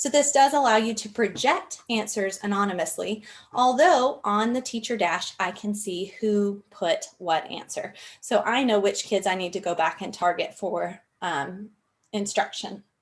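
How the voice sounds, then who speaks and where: A woman with an unremarkable speaking voice and a medium pitch speaks at a fairly slow pace with ordinary pitch variation. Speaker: instructional technology trainer. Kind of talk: training webinar.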